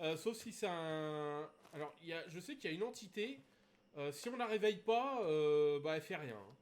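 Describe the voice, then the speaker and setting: A man speaks at a fairly slow pace with lively intonation. His pitch sits fairly high. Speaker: gaming streamer. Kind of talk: live gameplay stream commentary. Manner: hesitant, many fillers.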